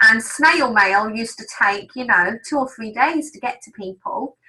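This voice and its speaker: A woman's fairly high voice with an English accent, lively intonation and an animated tone. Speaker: business trainer. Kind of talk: webinar training.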